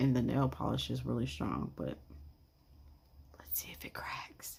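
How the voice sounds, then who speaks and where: The speech is quiet. It goes at a fairly slow pace. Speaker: slime reviewer. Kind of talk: product review.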